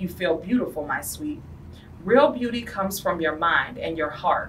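The pace of this woman's talk is moderate. Some light noise is heard in the background. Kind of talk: storybook read-aloud. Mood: gentle, warm storytelling. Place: classroom. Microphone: camera far.

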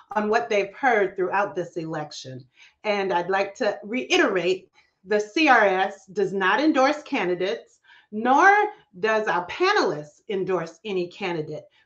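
The setting is quiet. A woman talks at a fairly slow pace. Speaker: moderator. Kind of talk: event moderation introduction. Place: home room. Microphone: webcam.

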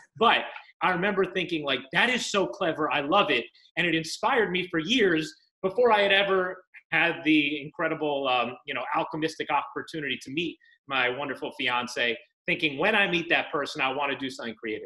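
A man speaks at a fairly quick pace with lively intonation. His tone is bright and sharp, and the background is quiet. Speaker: interview guest. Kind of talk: interview answer. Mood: warm, enthusiastic storytelling. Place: home room. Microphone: video call.

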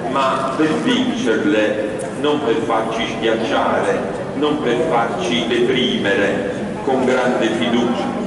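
Against loud background noise and audible room echo, a man speaks at a very slow pace with ordinary pitch variation. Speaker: priest addressing the bearers. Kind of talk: sermon. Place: church.

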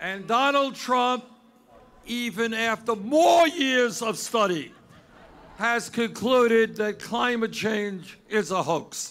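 Talking very slowly, a man keeps ordinary pitch variation. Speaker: candidate. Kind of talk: campaign rally speech. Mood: mocking, sarcastic. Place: street. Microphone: podium.

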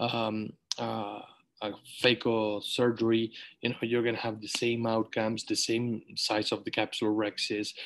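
With a Spanish accent and medium pitch, a man speaks at a moderate pace in a monotone, flat way, leaving long, frequent pauses. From Uruguay. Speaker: webinar host, eye surgeon; webinar host. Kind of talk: online panel webinar. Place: home room. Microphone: video call.

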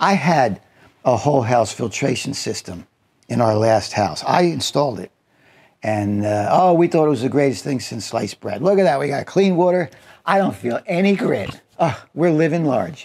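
The background stays quiet while a man talks at a moderate pace. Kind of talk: opinion talk to camera. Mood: wry, opinionated. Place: car.

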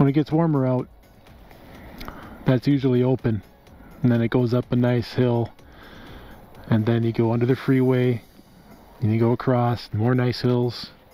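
A man speaks with music playing in the background. The sound is dry, with no echo. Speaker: scooter rider vlogger. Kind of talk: casual vlog chat. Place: open country. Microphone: helmet.

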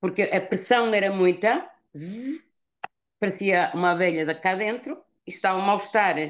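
Against a quiet background, a woman talks fairly slowly at a medium pitch with lively intonation. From northern Portugal. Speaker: customer giving product testimonial. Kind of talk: testimony. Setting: video call. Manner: halting.

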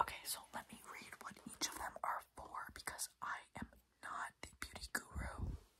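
The speaker whispers in a soft-spoken way at a moderate pace. Noticeable background noise sits behind the voice. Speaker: skincare vlogger. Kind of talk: casual vlog chat, reading product labels. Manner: soft close whisper to camera. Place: home room. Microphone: phone near.

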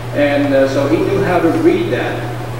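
Speaking at a fairly slow pace, a man is heard through strong room echo and noticeable background noise. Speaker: pastor leading service. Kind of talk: sermon. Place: church. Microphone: camera far.

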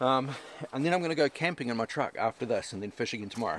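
A man talking at a very fast pace, with ordinary pitch variation, dry sound with no echo and light background noise. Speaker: fishing vlogger. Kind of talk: casual vlog chat. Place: open country.

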